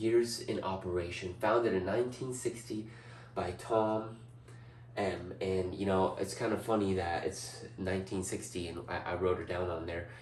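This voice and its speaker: Heard with audible room echo, a man speaks at a moderate pace and fairly low pitch with ordinary pitch variation. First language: not English. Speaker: student. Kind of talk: class presentation. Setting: indoors presenting before a large TV screen. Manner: animated.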